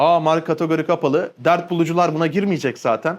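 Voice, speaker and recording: A man talks very fast in a fairly high, animated voice. The recording is very clean, with a silent background. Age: 20s. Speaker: online business coach. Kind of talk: educational monologue.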